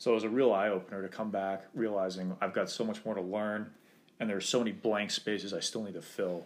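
A man's fairly low voice with an American accent, very fast delivery and flat, monotone intonation. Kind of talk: casual interview.

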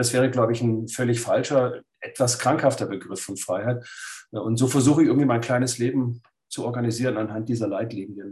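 Somewhat breathy, a man speaks at a fairly quick pace. His pitch is medium and his intonation fairly even. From Swabia, Lake Constance, Germany. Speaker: writer and philosopher. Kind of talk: interview.

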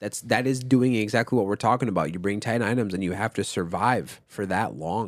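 With a plain, everyday voice and an American accent, a man talks at a fairly quick pace with hardly any pauses, fairly low pitch and ordinary pitch variation, on a very clean recording with a silent background. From Minnesota, US. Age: 20s. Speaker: podcast host and music artist. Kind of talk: casual chat.

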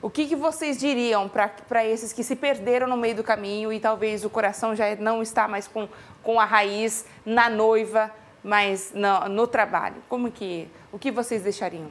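Speaking at a fairly slow pace, a woman talks in a fairly high pitch. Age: 30s. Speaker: talk show host. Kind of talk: casual interview. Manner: animated.

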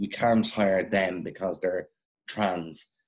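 A man speaks with an Irish accent. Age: young. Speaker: radio broadcaster and journalist. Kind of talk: casual chat.

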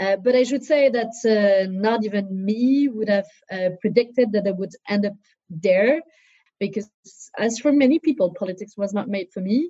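Fairly high-pitched yet dark and mellow in tone, a somewhat breathy woman with a French accent speaks at a moderate pace with ordinary pitch variation. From southern France. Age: 30s. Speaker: politician. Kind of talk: interview. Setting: video call.

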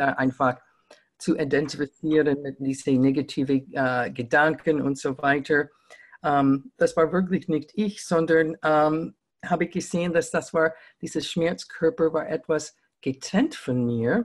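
A woman with an American accent, very deep and low in pitch, very slow, with ordinary pitch variation. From US New England. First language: English (speaking German). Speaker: communication trainer. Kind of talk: interview. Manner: halting, many fillers.

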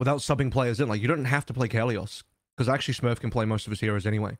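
On a very clean recording with a silent background and a dry, close sound with no echo, a man talks at medium pitch with ordinary pitch variation. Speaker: esports podcast host. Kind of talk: casual chat podcast.

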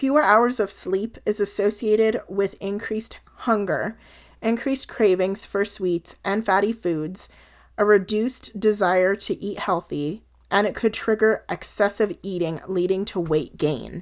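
In a General American accent, a woman with a normal speaking voice talks at a fairly slow pace and medium pitch, with ordinary pitch variation and a quiet background. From Colorado. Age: 20s. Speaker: health coach podcaster. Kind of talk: casual solo podcast monologue.

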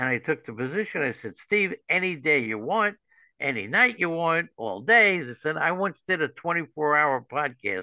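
A man speaks with a New York accent at a moderate pace. His pitch swings very widely. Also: fairly high pitch for a man. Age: 70s. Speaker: fantasy baseball analyst. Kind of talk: interview. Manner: animated.

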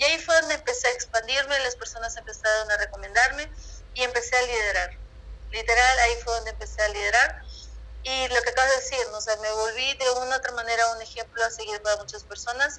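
Noticeable background noise fills the recording. The woman speaking goes at a very fast pace. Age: 20s. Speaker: numerologist and holistic coach. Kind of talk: interview.

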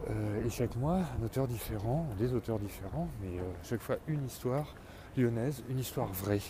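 The intonation is lively and the pace fairly slow. Background noise is noticeable. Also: man. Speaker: comic book author and podcaster. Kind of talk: solo monologue podcast. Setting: outdoors at night, street. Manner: hesitant, many fillers.

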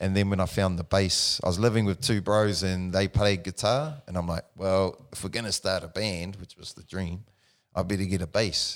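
Very deep, low pitch from a man with a New Zealand accent, fairly even intonation and a moderate pace, in a very clean recording with a silent background. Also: big swings in loudness. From New Zealand, Palmerston North. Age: 40s. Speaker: personal trainer. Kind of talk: casual chat.

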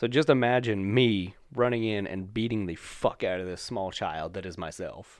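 At a moderate pace, a man speaks in a plain, everyday voice with ordinary pitch variation and big swings in loudness. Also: fairly low pitch for a man, hardly any pauses. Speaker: podcast host. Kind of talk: casual banter, comedic chat. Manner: profane, joking, rambling.

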